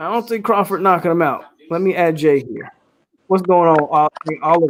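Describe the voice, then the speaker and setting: A man speaks at a moderate pace with a high pitch and ordinary pitch variation. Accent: American. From Florida, Polk County (Lakeland). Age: 30s. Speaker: sports fan podcaster. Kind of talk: live stream chat. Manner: animated. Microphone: new mic.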